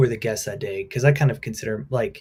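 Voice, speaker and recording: A somewhat breathy man's voice at medium pitch. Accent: American. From US Midwest. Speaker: livestream co-host. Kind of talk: casual planning chat.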